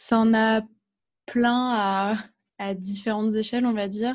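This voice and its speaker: A woman speaks at a very slow pace in a monotone, flat way. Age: 20s. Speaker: guest with agoraphobia. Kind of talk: interview testimony. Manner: halting.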